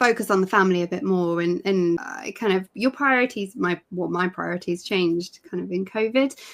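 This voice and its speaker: Hardly pausing, a woman with a British accent talks at medium pitch with ordinary pitch variation. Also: fairly quick pace. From UK. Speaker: knitting and crochet technical editor. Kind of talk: interview. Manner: halting.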